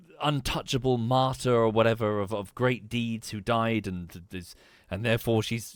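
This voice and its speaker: The recording is very clean with a silent background. A man with an English accent speaks at a moderate pace in a medium pitch. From England. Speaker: streamer. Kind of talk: live gameplay commentary. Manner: halting.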